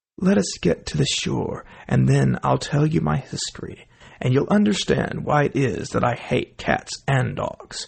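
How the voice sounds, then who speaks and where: A man puts on a character voice that sounds shaky. He keeps a moderate pace. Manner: passionate, upset.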